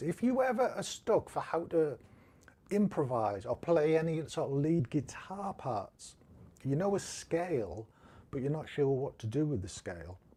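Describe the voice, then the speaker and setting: With a Teesside accent and a dark, mellow tone, a man speaks at a moderate pace, his pitch swinging very widely. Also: fairly high pitch for a man. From Northeast England. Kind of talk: casual, instructional.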